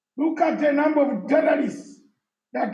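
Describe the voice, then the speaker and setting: A man's voice carries audible room echo. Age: 60s. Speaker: former armed rebel leader and political speaker. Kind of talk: live conference discussion.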